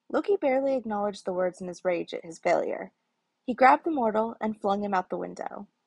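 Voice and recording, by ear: Natural-voiced reading aloud amid quiet surroundings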